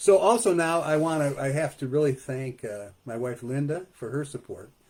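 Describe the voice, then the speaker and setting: Pitched fairly high, a male speaker talks at a moderate pace. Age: 60s. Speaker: poet and author. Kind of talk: author talk. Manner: halting, many fillers.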